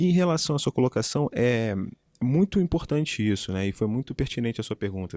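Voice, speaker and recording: Recorded very cleanly against a silent background, with a dry, close sound and no echo, a man with a Rio de Janeiro accent speaks at a medium pitch in a dark, mellow tone with very wide pitch swings. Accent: Rio de Janeiro (carioca). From Rio de Janeiro, Brazil. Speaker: public attorney and law professor. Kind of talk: interview chat.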